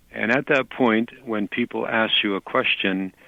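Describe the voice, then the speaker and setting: With a Canadian accent, a man speaks in a plain, everyday voice at a fairly low pitch. His pace is fairly slow and his intonation fairly even. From Canada. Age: 60s. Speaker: psychic. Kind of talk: interview.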